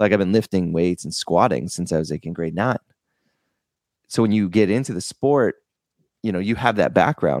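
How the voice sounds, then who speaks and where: The sound is dry and close with no echo, in a very clean recording with a silent background. Intonation is lively, the pace moderate, and the pauses long and frequent. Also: man, fairly low pitch for a man. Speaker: podcast host. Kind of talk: casual interview.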